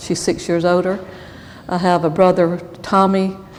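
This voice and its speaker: A woman's fairly low voice at a fairly slow pace, over noticeable background noise. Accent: Southern US. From US South, Rome, Georgia. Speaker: church member interviewee. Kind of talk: oral history interview. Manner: halting, with fillers.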